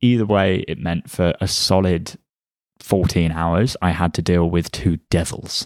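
Speaking at a fairly slow pace with fairly even intonation, a man with a very deep, low pitch is heard in a very clean recording with a silent background and a dry, close sound free of echo. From England. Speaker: podcast guest, host's partner. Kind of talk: casual chat.

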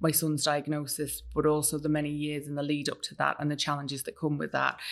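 A woman with a Welsh accent speaks in a very deep, low pitch. Her pace is fairly quick, and the background is quiet. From North Wales. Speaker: writer. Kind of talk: casual interview chat. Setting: studio.

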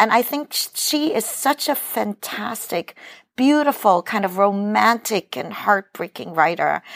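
Recorded with a dry, close sound and no echo, a woman speaks at a fairly slow pace with a medium pitch and very wide pitch swings. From New York (Brooklyn), immigrated from Hong Kong at five. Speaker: novelist. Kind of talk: casual chat. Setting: remote recording from Cleveland.

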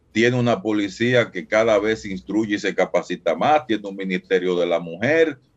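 In a plain, everyday voice, a man with a fairly low pitch talks at a moderate pace with hardly any pauses and lively intonation. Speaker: violence expert and researcher. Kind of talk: phone interview. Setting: phone call.

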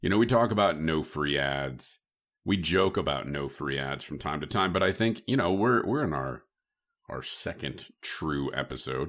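On a very clean recording with a silent background, the speaker uses lively intonation and vocal fry at a moderate pace. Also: man. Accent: Midwestern US. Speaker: podcast host. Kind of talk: casual chat.

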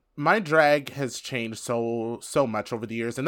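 The recording is very clean, with a silent background. A man speaks in an upbeat tone. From US. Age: 30s. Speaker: drag performer and author. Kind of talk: interview. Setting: studio.

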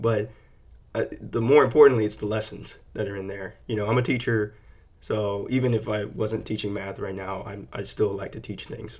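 In a very clean recording with a silent background, a man with a Texan accent speaks at a moderate pace in a somewhat breathy voice, his intonation fairly even and his loudness swinging widely. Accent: Texan American. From Texas, San Antonio. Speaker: author and teacher. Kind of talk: casual monologue. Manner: relaxed, hesitant with fillers.

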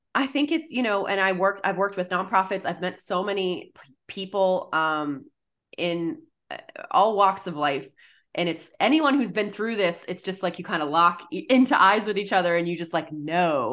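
In an ordinary speaking voice with an American accent, a woman of medium pitch talks at a moderate pace with lively intonation and big swings in loudness, over a quiet background. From US Northeast, Massachusetts (Boston). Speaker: writer and mental health advocate. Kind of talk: interview.

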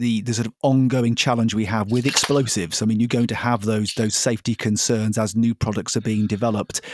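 A medium-pitched man with a British accent at a very fast pace, hardly any pauses, in a dry, close sound with no echo. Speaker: podcast host. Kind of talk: interview.

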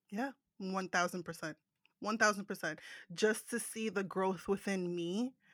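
A woman with an American accent speaks at a moderate pace and a medium pitch, her intonation fairly even. The recording is very clean, with a silent background. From New Jersey. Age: 30s. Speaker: podcast host and guest. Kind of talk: casual interview chat.

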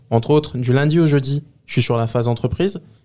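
On a very clean recording with a silent background, a man speaks fairly quickly in a dark, mellow tone with fairly even intonation. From Les Lilas, Seine-Saint-Denis, France. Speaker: work-study student, community manager. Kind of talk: interview. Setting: studio.

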